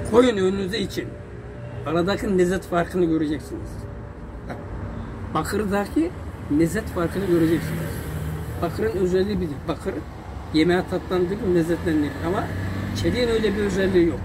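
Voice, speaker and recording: A man at a high pitch, fairly quick pace and ordinary pitch variation, with noticeable background noise. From Giresun, Turkey. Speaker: tinsmith craftsman. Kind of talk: casual interview answers. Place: workshop. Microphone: phone near.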